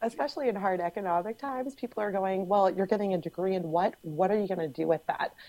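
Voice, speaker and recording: A woman speaks at a very fast pace with hardly any pauses. Her voice is dark and mellow, medium in pitch, with ordinary pitch variation. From Cape Cod, Massachusetts. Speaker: guest. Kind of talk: casual podcast discussion.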